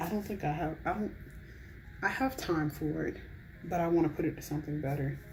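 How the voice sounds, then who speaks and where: A woman talks at a fairly quick pace with a very deep, low pitch and vocal fry. Her pitch variation is ordinary. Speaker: college student. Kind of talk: casual chit chat to camera, ASMR. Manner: soft-spoken, whispery, relaxed.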